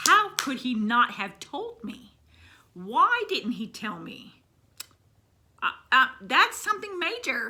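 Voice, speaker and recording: The voice is raised and projected, with very wide pitch swings. It moves at a very slow pace, broken by long, frequent pauses. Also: woman, high pitch for a woman. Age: 50s. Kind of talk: personal story told to camera. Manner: casual, conversational.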